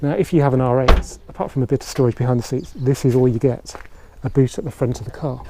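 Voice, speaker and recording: Over noticeable background noise, a man with a fairly high voice speaks at a fairly quick pace. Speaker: car reviewer. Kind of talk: casual car review to camera.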